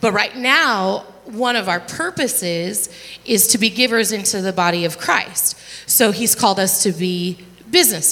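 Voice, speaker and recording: Amid noticeable background noise, a woman of medium pitch speaks at a moderate pace with lively intonation. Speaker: worship ministry leader and entrepreneur. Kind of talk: panel discussion in church. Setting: church stage with audience.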